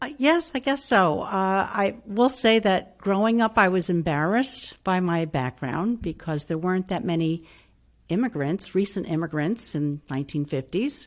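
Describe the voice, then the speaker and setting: A woman with an upstate New York accent, medium pitch and very wide pitch swings at a moderate pace, on a very clean recording with a silent background. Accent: US Northeast (upstate New York). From Hudson, New York, US. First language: Italian. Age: 60s. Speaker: retired language teacher. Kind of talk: interview.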